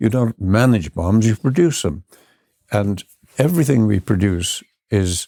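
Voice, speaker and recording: Fairly slow speech with long, frequent pauses, a dark, mellow tone and lively intonation, in a dry, close sound with no echo. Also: man, fairly low pitch for a man, very even loudness. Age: 80s+. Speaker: biologist, farmer, holistic management pioneer. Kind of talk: interview answer. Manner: patient, stern, fatherly.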